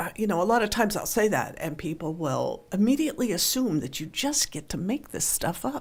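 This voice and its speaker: At a fairly quick pace with hardly any pauses, a woman speaks at a medium pitch, somewhat breathy, with very wide pitch swings. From western Pennsylvania, near Pittsburgh. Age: 60s. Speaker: newspaper columnist. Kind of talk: radio interview.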